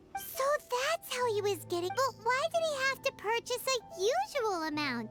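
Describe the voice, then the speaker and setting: A put-on character voice at an extremely high pitch, moving at a moderate pace. Loud music plays in the background. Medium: video game. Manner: curious, light.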